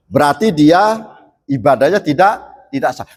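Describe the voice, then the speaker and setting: This man's voice sits fairly high. His intonation is lively. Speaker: Islamic preacher. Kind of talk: sermon. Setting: mosque. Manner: halting.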